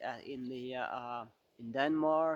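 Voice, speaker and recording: A man speaking at a fairly slow pace in a monotone, flat delivery, with dry, close sound and no echo. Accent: Arabic. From Central African Republic. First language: Arabic. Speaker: photographer and outdoor vlogger. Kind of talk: channel introduction monologue. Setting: outdoors in snow shelter. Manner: halting, many repetitions and fillers.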